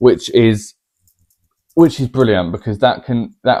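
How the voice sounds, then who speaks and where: The speaker is male. His accent is English. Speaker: vlogger. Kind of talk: casual chat. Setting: at home, to camera. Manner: quiet normal voice, trying to be louder.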